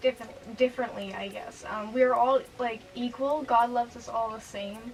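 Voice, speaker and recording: Over music in the background, a woman talks at a moderate pace with a high pitch and fairly even intonation. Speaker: youtuber. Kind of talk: testimony. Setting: in her room. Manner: halting.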